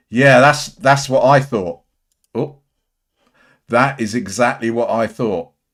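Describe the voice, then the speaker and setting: Very slow and broken by long, frequent pauses, a man with an English accent speaks at a medium pitch with ordinary variation on a very clean recording with a silent background. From England. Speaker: livestream commentator on auditor videos. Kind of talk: live stream chat reading viewer comments. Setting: solo livestream. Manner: halting.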